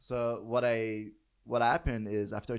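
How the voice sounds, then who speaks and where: A man with a fairly low voice speaks in a Quebec accent. The recording is very clean, with a silent background. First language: French. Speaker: professor. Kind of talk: interview. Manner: halting.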